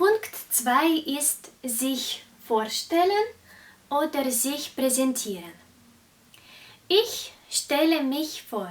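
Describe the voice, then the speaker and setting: A woman with a Russian accent talks at a very slow pace with long, frequent pauses, using a high pitch and very wide pitch swings. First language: Russian (speaking German). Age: 20s. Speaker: German teacher. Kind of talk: language lesson tutorial. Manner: slow, clear.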